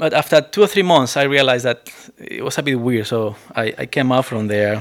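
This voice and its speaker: A man with a Spanish accent at a moderate pace. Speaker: preacher. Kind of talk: sermon. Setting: church.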